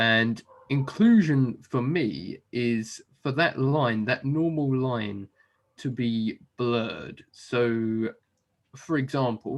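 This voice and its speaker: With an English accent, a man speaks at a medium pitch and a very slow pace. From southern England. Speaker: software developer, business owner. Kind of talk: interview. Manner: hesitant, many fillers.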